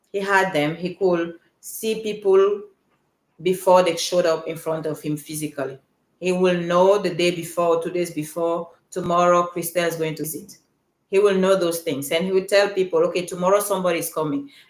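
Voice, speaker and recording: Her fairly low-pitched voice moves at a fairly quick pace, and this woman's intonation stays fairly even. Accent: Cameroonian. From Cameroon. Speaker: podcast coach and speaker. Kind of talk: live stream monologue. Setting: live stream.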